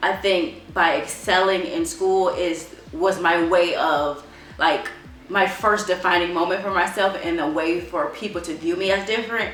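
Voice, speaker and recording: Music plays in the background as a woman with an American accent speaks at medium pitch and a moderate pace, with ordinary pitch variation and audible room echo. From Chicago, Illinois, US. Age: 30s. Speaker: homeschooling mother. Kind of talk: interview testimony. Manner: halting, many fillers.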